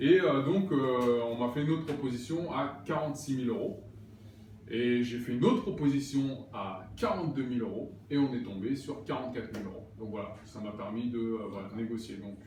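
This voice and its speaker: Over noticeable background noise and audible room echo, a man of medium pitch speaks at a moderate pace with lively intonation. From Paris region, Val d'Oise. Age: 30s. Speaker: actor and property investor. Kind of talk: casual interview. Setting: apartment under renovation.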